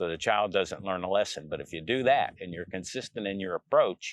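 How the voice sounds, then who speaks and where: Here is a man with an ordinary speaking voice and an American accent. His pitch sits fairly low, and his pace is moderate. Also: dry, close sound with no echo. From central Pennsylvania. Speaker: interviewee. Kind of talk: family history interview.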